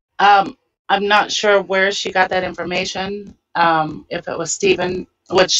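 In a quiet background, a woman with an ordinary speaking voice talks at a moderate pace, with a fairly low pitch and ordinary pitch variation. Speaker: panel member. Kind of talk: casual panel discussion. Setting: video call. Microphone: video call.

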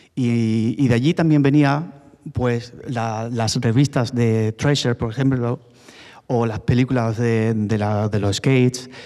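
A man speaks very slowly in a dark, mellow tone. The background is quiet. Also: medium pitch for a man, fairly even intonation. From Málaga, Spain; Spain. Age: 40s. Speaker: former BMX rider; speaker. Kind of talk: panel talk. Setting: stage with audience. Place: hall. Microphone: handheld.

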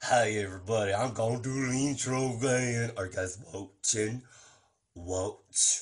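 The speaker uses a put-on character voice at a moderate pace. Pitch varies in an ordinary way. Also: man, medium pitch for a man. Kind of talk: comedy sketch. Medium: role play. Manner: eager, repetitive.

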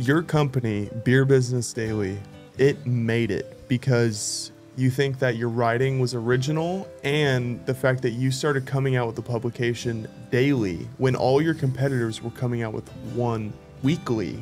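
Faint music plays in the background as a man speaks. His pace is moderate and his intonation fairly even. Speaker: interviewer, content creator. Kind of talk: casual interview question. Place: studio. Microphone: studio mic.

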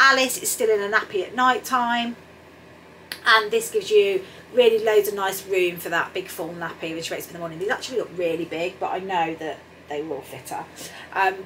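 A woman speaks at a fairly quick pace with ordinary pitch variation and big swings in loudness over light background noise. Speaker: sewing vlogger. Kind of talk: casual vlog chat. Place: home room.

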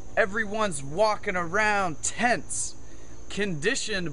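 A man with a high-pitched, raised and projected voice comes through over light background noise. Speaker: spoken word poet. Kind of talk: spoken word poetry, rhyming slam poem. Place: forest. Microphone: phone near.

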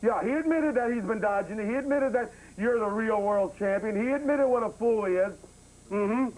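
Here a man speaks at a very fast pace in a high pitch. His pitch variation is ordinary. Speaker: talk show host. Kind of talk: comedic talk show banter on the phone. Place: studio.

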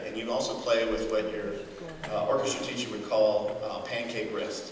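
A man talks at a moderate pace. There is noticeable background noise and audible room echo. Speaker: folk fiddler. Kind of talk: informal talk to an audience. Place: church.

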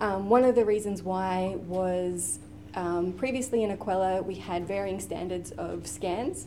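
Over light background noise, a woman speaks slowly-ish at medium pitch, her intonation fairly even. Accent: Australian. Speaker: university librarian. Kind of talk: conference panel presentation. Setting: stage with audience. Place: meeting room.

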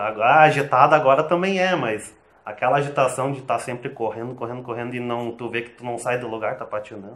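A man is speaking at a fairly quick pace. His pitch sits in the medium range. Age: 30s. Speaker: online seller. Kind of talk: interview. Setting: host's home. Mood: relaxed, reflective. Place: home room. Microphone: lapel.

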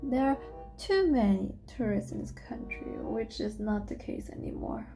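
Clear music sits behind a woman speaking at a moderate pace. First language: German. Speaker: language learner. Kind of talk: language practice, repeating sentences. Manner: hesitant, unsure. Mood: relaxed, playful. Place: home room. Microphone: camera far.

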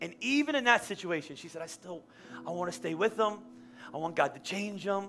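Fairly quick speech in a raised, projected voice with a bright, sharp tone and big swings in loudness comes through light background noise. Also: man, high pitch for a man. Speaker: pastor. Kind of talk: sermon. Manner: fast, stuttering. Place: church. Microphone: headset.

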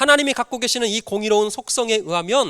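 Extremely high-pitched for a man, his bright, sharp voice is raised and projected at a fairly quick pace with ordinary pitch variation, on a very clean recording with a silent background and a dry, close sound with no echo. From North Jeolla, South Korea (Jinan). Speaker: pastor. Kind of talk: sermon. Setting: church.

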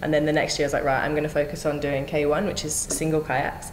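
In an Australian accent, a woman with a very deep, low pitch talks at a very fast pace over light background noise. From Australia (Brisbane). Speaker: Olympic kayaker and calisthenics coach; new coach. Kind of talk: interview. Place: office.

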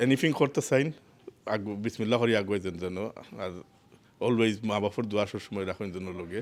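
This man has an unremarkable speaking voice, fairly low in pitch, with ordinary pitch variation. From London, England, Sylheti family. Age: 40s. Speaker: furniture shop owner. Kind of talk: interview. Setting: on location in a retail park.

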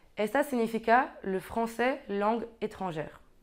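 A woman's fairly high voice in a French accent, very slow, with ordinary pitch variation over a quiet background. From Belgium (French-speaking, Brabant Wallon); Belgium. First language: French (speaking Spanish). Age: 20s. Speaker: exchange student in teacher training. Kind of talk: informational talk to camera; interview answer. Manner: halting, with repetitions. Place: office.

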